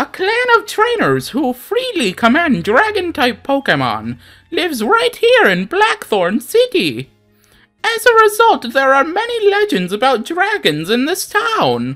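Put-on character voice, high-pitched and fairly slow, over faint music in the background. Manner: exaggerated, grating.

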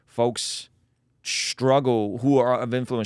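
A man is heard in a dry sound with no echo against a quiet background. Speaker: podcast host. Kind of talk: casual podcast conversation. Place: studio. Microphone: studio mic.

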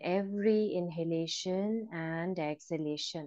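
A woman at a medium pitch with fairly even intonation and a fairly slow pace, against a quiet background. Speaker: yoga meditation trainer. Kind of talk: guided meditation, calm step-by-step instructions in mixed Hindi and English. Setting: live online class. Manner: slow, soft-spoken and soothing, with long pauses and repeated bilingual cues. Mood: calm, soothing. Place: home room. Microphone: earbuds.

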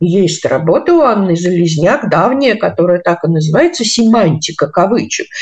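A woman's voice sounds somewhat breathy. The background is quiet. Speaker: philologist and university lecturer; university lecturer. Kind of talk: interview. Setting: studio. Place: home room. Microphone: video call.

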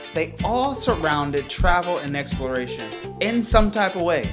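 Clear music plays in the background as a man with a high voice speaks at a moderate pace with lively intonation. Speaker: travel agent / vlogger. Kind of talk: casual talk to camera. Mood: earnest, hopeful. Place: home room.

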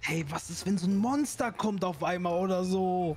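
In a whiny put-on character voice pitched high, a man talks at a moderate pace with very even loudness over clear background noise. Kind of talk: comic overacting. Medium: machinima. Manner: whiny, pleading, fearful.

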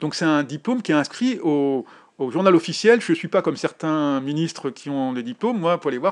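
The voice moves at a fairly quick pace with lively intonation. The background is quiet. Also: man. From Paris suburbs, France. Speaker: photojournalist. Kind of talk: interview. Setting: home kitchen. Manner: halting.

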